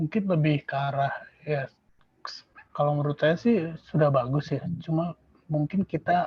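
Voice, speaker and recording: The man's voice is fairly high-pitched and somewhat breathy, with ordinary pitch variation. He goes at a moderate pace and pauses long and often. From Indonesia. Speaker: exam testimonial speaker. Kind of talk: testimony.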